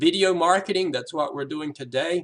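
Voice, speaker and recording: A man with a Southern US accent. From US South. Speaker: app developer giving a business presentation. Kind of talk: sales pitch presentation. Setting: recorded video, reading from a screen. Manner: casual, with frequent filler words.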